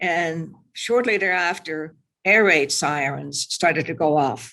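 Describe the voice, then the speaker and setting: Recorded very cleanly against a silent background, a woman with a Dutch accent speaks in a fairly low voice. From Netherlands, Zeeland. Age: 80s+. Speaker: Holocaust-era survivor speaker, retired librarian. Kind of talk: testimony with slides.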